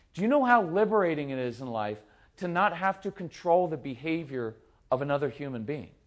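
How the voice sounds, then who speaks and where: A man speaks at a fairly quick pace in a fairly high voice, his pitch swinging very widely. His tone is animated, and the recording is very clean with a silent background. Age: 50s. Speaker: parenting speaker. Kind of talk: live talk to audience.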